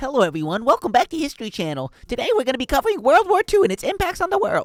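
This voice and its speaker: A put-on character voice, high-pitched and very fast. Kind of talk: formal, educational. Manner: measured, authoritative.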